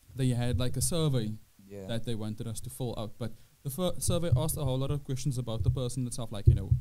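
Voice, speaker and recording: Very fast and dark, mellow in tone, a man speaks with ordinary pitch variation. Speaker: podcast host. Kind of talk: casual podcast storytelling. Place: studio. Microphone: studio mic.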